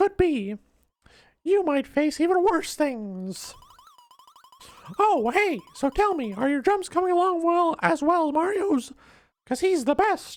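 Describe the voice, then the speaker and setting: The voice is a put-on character at an extremely high pitch, moving fairly slowly with long, frequent pauses. Sound effects play in the background. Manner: cheery, cartoonish.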